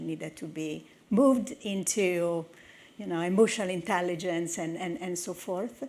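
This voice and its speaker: In an Italian accent, a woman speaks with a dark, mellow tone at medium pitch. Her pace is moderate and her pitch variation ordinary. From northern Italy. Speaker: technology executive. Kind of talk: conference talk.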